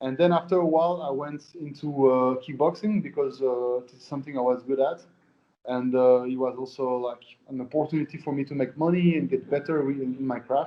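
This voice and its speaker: A man speaks with a Swiss French accent at a fairly quick pace. His pitch varies in an ordinary way. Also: fairly high pitch for a man. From Switzerland, French-speaking. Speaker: professional MMA fighter. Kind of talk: interview. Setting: at an osteopath's during treatment.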